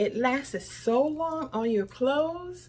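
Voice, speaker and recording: A woman speaks in an enthusiastic tone, her voice somewhat breathy. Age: 60s. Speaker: lifestyle vlogger. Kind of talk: product review vlog.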